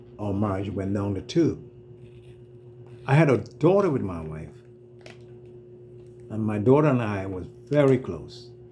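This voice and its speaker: A man with an American accent speaks at a moderate pace in a fairly low pitch, with big swings in loudness and long, frequent pauses, amid noticeable background noise and audible room echo. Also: lively intonation. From Trinidad. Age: 70s. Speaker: retired business owner telling his life story. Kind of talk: personal testimony. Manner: soft-spoken.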